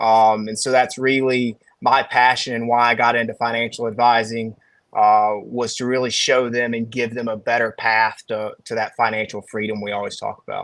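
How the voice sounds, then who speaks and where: In a Southern accent, a man speaks at a moderate pace and medium pitch with monotone, flat intonation. The recording is very clean, with a silent background. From Alabama. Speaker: financial advisor. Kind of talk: casual chat.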